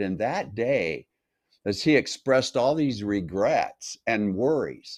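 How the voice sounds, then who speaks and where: A man's fairly slow delivery at medium pitch, an ordinary speaking voice. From North Las Vegas, Nevada, US. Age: 60s. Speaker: health coach. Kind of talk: interview.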